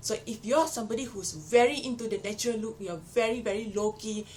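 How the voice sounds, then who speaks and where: Noticeable background noise fills the clip. Through it, a woman talks with a fairly high pitch. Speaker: beauty vlogger. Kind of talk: product review. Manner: casual, chatty.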